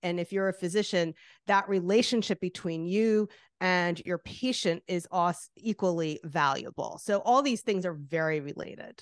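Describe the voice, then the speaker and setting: With a New Jersey accent, a woman speaks at a moderate pace, with a medium pitch and ordinary pitch variation. The background is quiet and the sound is dry and close, with no echo. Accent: New Jersey American. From New Jersey, US. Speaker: artist and author. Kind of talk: interview chat.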